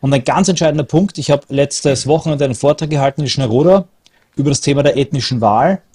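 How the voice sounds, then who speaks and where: Dry and close with no echo, this recording captures a man with a fairly high pitch, a dark, mellow tone and a somewhat breathy sound. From Austria. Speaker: political activist. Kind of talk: casual chat.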